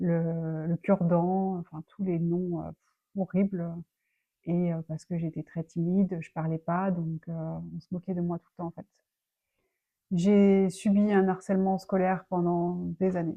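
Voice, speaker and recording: A woman's dark, mellow tone at a fairly low pitch, fairly slow and monotone with flat intonation, broken by long, frequent pauses. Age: 30s. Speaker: personal development vlogger. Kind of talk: personal life story. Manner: halting, many fillers.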